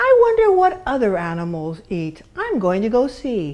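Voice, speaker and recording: A woman does a put-on character voice at a high pitch. She keeps a moderate pace. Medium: read story. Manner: loud, playful call-and-response.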